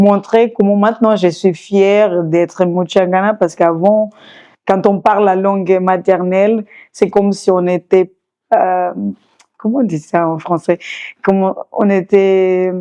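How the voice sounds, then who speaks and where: Very slow and monotone, a woman speaks at medium pitch with a dark, mellow tone. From Mozambique, Maputo. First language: Changana (Shangana), then Portuguese (speaking French). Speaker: singer. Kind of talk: interview testimony. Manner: halting, many hesitations.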